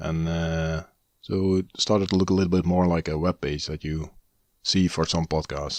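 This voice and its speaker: Against a quiet background, a man talks in a very deep, low pitch. His intonation stays monotone and flat. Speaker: hobbyist tech podcast host. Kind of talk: casual solo podcast monologue. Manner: tries to speak higher and faster; frequent filler hesitations.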